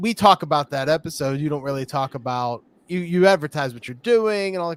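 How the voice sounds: A man with a Pittsburgh accent talks at a fairly quick pace and fairly high pitch with ordinary variation, the sound dry and close with no echo.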